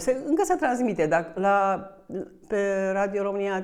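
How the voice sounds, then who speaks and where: Fairly slow, medium-pitched speech from a woman, its pitch varying in an ordinary way. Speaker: author. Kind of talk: book launch talk. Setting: bookshop event with audience. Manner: halting, with fillers.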